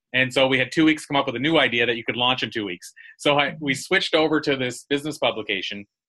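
The voice is bright and sharp, racing along at a very fast pace with ordinary pitch variation. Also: man. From small island town. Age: 40s. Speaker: public speaker and radio show host. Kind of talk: interview.

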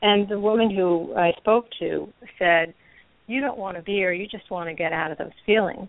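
A woman with a normal speaking voice talks at a moderate pace and a medium pitch, using ordinary pitch variation. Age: 50s. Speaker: recovering alcoholic. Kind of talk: personal recovery story and discussion. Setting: phone call.

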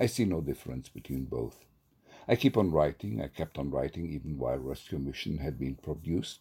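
The recording is very clean with a silent background, carrying a man's dark, mellow tone marked by vocal fry. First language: Hebrew. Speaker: poet and theatre professor. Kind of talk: poetry reading and self-interview. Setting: solo recording.

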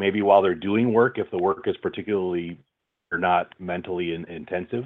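At a moderate pace, a man with a General American accent talks with a fairly low pitch and ordinary pitch variation. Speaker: audiobook narrator and voice-over artist. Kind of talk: interview. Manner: halting.

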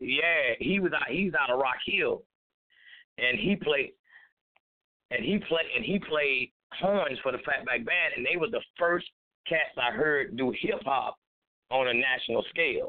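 At a fairly slow pace, a man with an American accent keeps his loudness very even and leaves long, frequent pauses. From South Carolina. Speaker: rapper and street minister. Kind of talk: casual interview. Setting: phone call.

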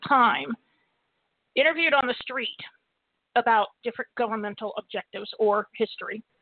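Here a woman speaks with a high pitch. Her intonation is fairly even. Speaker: radio host. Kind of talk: political commentary monologue. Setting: internet radio show. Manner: fast talker.

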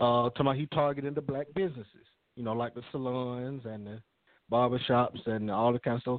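Fairly even intonation marks a plain, everyday voice moving at a fairly quick pace. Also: man, medium pitch for a man. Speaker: radio co-host. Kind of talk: casual chat.

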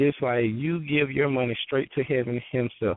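With a Southern US accent, a man speaks fairly slowly in a fairly high pitch. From Georgia, US South. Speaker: author and business speaker. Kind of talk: interview, sharing wisdom.

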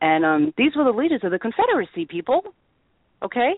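In a New England accent, a woman speaks with a passionate tone at a fairly high pitch. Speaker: radio host. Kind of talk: radio talk show monologue. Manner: opinionated, passionate.

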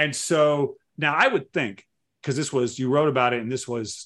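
A man in a normal speaking voice, at a moderate pace with ordinary pitch variation, over a quiet background. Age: 50s. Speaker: podcast host. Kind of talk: casual interview chat.

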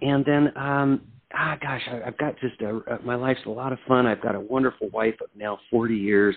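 A man with an American accent and an unremarkable speaking voice, medium pitch, moderate pace and fairly even intonation. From US military family, raised around the world; settled in Oregon. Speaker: singer-songwriter. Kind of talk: interview.

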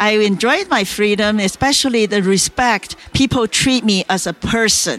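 Against noticeable background noise, a woman with a Chinese accent talks at a moderate pace and a fairly high pitch, with ordinary pitch variation, very even loudness and hardly any pauses. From China. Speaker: author and entrepreneur. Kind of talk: interview telling her life story. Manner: halting, with filler words.

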